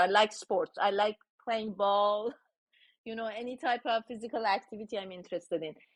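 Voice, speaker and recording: A woman at a medium pitch with a Persian accent and fairly even intonation. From Iran. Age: 60s. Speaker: tech founder. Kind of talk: interview.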